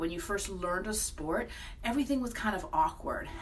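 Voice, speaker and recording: The speech has lively intonation and a moderate pace, with audible room echo. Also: woman. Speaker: speech therapist. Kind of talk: educational vlog.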